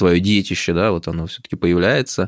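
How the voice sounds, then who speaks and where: The recording is very clean and the background silent. A man talks in a very deep, low pitch. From Moscow, Russia. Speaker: imam and theologian. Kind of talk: interview conversation. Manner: measured, with many filler words.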